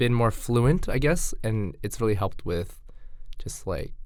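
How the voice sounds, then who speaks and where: A man's voice carries audible room echo. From Canada. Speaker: podcast guest. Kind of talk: casual chat.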